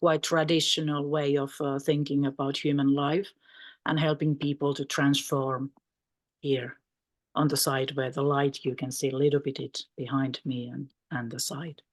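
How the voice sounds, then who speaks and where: Against a quiet background, a woman talks at a fairly slow pace with a Finnish accent. Her very deep, low pitch holds a monotone, flat intonation. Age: 50s. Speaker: mental health practitioner. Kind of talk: conference panel talk. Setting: video call.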